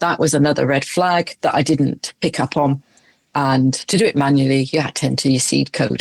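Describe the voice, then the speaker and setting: A woman speaks at a very deep, low pitch with vocal fry and fairly even intonation. The sound is dry and close, with no echo. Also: moderate pace, very even loudness. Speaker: retired crypto investor. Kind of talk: interview answer.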